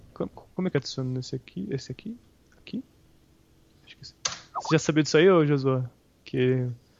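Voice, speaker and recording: Pausing often and at length, a man with a fairly high voice and ordinary pitch variation speaks at a moderate pace, with big swings in loudness. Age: 20s. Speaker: podcast co-host. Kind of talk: casual chat.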